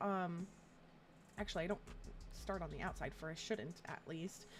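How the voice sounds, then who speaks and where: A woman with an American accent over background music. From US South, Atlanta, Georgia. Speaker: streamer. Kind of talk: casual live-stream chat. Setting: live stream.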